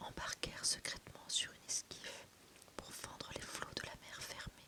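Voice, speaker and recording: A woman whispering at a very slow pace against noticeable background noise. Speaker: self-published fantasy author and ASMR reader. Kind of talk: whispered audiobook-style reading of a fantasy novel excerpt. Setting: close-mic ASMR recording, relaxation content. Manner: whispered, soft, calming.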